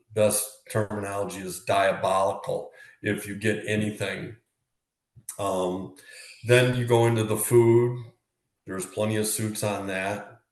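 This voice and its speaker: The delivery is fairly slow with a fairly even intonation. Long pauses come often, and the room echo is audible. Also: man, fairly low pitch for a man. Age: 60s. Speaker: former prisoner. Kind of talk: interview. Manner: hesitant, many fillers.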